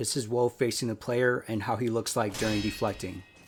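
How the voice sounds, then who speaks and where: Over music in the background, a man speaks at a medium pitch with monotone, flat intonation. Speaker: gaming guide creator. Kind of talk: game tutorial narration. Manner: forceful, aggressive.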